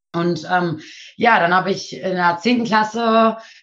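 At a moderate pace, a woman with a normal speaking voice talks, her pitch varying in an ordinary way. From Nienburg, Lower Saxony. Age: 20s. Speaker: trainee midwife. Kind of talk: interview.

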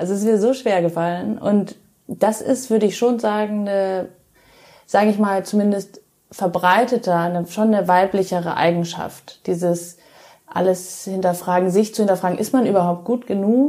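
This woman's voice sits at a medium pitch and has a dark, mellow tone. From Germany, Munich (Bavaria). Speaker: pastry chef and chocolatier. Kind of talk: casual interview.

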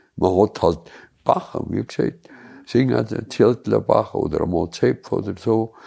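A man speaks with a strong Allgäu accent. His pace is fairly slow. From Allgäu, Bavaria. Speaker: local elder sharing childhood memories. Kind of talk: casual reminiscing chat. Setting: cozy living room by a tiled stove.

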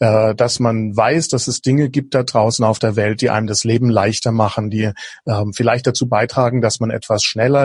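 A man's somewhat breathy voice at medium pitch, moderate pace, with monotone, flat intonation. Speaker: innovation coach. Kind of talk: podcast interview.

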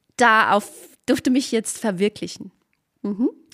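On a very clean recording with a silent background and a dry, close sound with no echo, a woman speaks with ordinary pitch variation. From Spessart, Lower Franconia, Bavaria. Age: 50s. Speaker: hiking association director. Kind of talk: casual interview.

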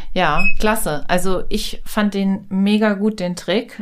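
Very clean recording of a woman, silent background behind her. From Germany, Hanover. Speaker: podcast host. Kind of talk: casual chat. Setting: studio.

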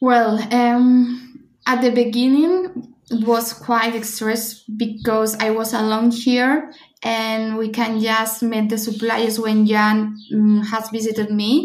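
A woman with a Spanish accent talks at a very slow pace, somewhat breathy and fairly high in pitch, with fairly even intonation, hardly any pauses and audible room echo. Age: 30s. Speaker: bride-to-be. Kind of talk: interview.

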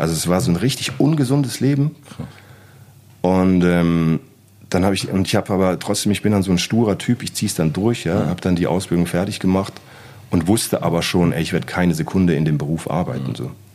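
A man's very deep, low voice, very fast and with lively intonation. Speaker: graffiti artist. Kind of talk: casual chat. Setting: studio.

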